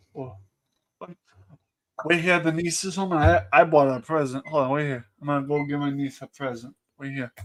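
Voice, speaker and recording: Speaking in a Boston accent at a moderate pace and a fairly high pitch, a man shows ordinary pitch variation and big swings in loudness, with long, frequent pauses. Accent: Boston New England. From New England, Boston area. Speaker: livestream panelist. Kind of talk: casual chat.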